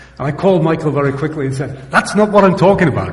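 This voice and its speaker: Talking at a very fast pace, a man with a fairly high pitch and ordinary pitch variation comes through audible room echo and noticeable background noise. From Wales, mining village. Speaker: professor. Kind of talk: conference presentation. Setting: stage with live audience.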